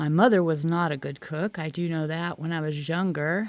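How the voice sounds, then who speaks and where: In a very clean recording with a silent background, a woman with an unremarkable speaking voice talks at a moderate pace, fairly low in pitch, with fairly even intonation. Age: 60s. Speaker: vlogger. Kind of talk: casual monologue. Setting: outdoors. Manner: relaxed.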